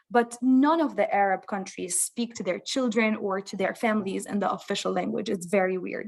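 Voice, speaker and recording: Speaking fairly quickly with hardly any pauses, a woman with a Lebanese accent keeps a medium pitch and ordinary pitch variation. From Lebanon. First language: Lebanese Arabic. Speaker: parent of a bilingual child. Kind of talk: interview.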